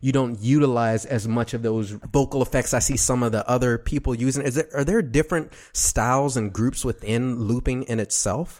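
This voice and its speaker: With an American accent and a normal speaking voice, the speaker talks at a fairly quick pace with fairly even intonation. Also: man. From Texas, Dallas. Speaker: radio podcast host. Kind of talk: casual interview.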